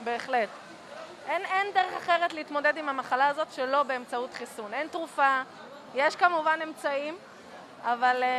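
A woman speaks in a high pitch, leaving long, frequent pauses. Crowd noise fills the background. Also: ordinary pitch variation, moderate pace. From Israel, Jerusalem. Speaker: engineer. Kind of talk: street interview. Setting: outdoor market.

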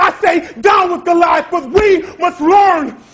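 A man speaks in an American accent at an extremely high pitch. His tone is intense, with ordinary pitch variation. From Rochester, New York, by way of Atlanta. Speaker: spoken word poet. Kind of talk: slam poetry performance. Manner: intense, defiant. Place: stage.

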